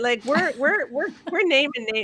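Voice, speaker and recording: This woman's voice is raised and projected. It sits high, with a bright, sharp tone. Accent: Canadian. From Canada. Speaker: author and blogger. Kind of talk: podcast interview.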